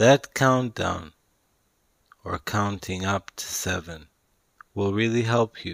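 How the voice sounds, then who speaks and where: A man's soothing, fairly low voice at a very slow pace, with ordinary pitch variation, long and frequent pauses, big swings in loudness, and a dry, close sound with no echo. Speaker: author reading his own self-help audiobook. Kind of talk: guided meditation with breathing and visualization prompts; audiobook narration, spiritual self-help. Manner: slow, soothing, repetitive meditation cues; deliberate, each word emphasized.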